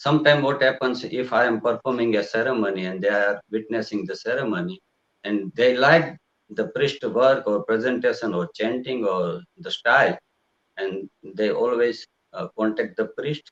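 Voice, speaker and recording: Speaking at a medium pitch and a moderate pace, a man shows ordinary pitch variation. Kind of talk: interview. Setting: live video broadcast. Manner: halting.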